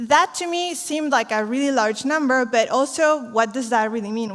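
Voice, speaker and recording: A woman speaks with a Spanish accent at a moderate pace. Her pitch varies in an ordinary way. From Chile. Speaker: social entrepreneur. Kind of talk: conference talk.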